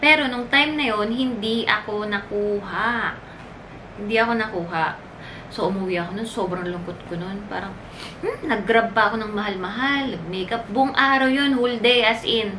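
With an animated tone and a fairly high pitch, a woman speaks at a moderate pace with ordinary pitch variation over light background noise. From Philippines. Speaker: flight attendant vlogger. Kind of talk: casual vlog talk. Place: home room. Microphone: camera far.

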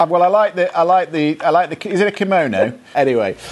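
At a fairly quick pace, a man talks with lively intonation in a fairly high pitch.

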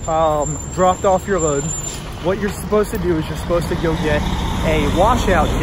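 High-pitched, a man talks at a moderate pace with ordinary pitch variation. Noticeable background noise is present. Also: dry sound with no echo. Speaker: truck driver vlogger. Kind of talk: casual vlog chat. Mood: frustrated about a bad day. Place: street. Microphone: phone near.

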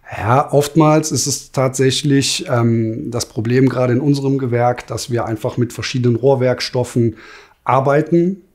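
Over a quiet background, the speaker talks at a moderate pace with fairly even intonation. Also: man. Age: 40s. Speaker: master plumber and heating installer, business owner. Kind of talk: interview. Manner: hesitant, many filler sounds. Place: office. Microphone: lapel.

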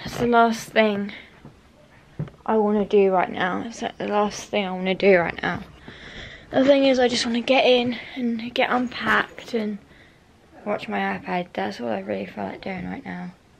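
Pausing long and often, a woman speaks at a moderate pace against light background noise. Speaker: vlogger. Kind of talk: casual vlog chat. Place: home room. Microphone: phone near.

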